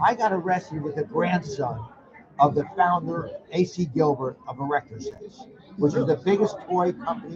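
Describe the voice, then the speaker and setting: A man talks at a moderate pace in a high voice. Noticeable background noise runs behind him. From US Northeast, Connecticut. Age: 70s. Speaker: reality TV personality. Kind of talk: casual chat. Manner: animated.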